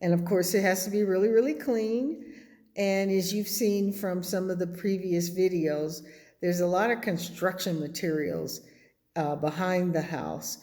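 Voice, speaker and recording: In a room with audible echo, a woman speaks at a medium pitch in a dark, mellow tone with ordinary pitch variation. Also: moderate pace. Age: 70s. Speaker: vlogger building an off-grid house. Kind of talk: casual vlog update. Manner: hesitant, many fillers.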